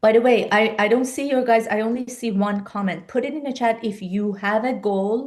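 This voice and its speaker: Speaking at a moderate pace with hardly any pauses, a woman with a Persian accent uses a fairly high pitch and fairly even intonation. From Iran. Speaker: life and business coach. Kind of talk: live-stream webinar talk. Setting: live video stream.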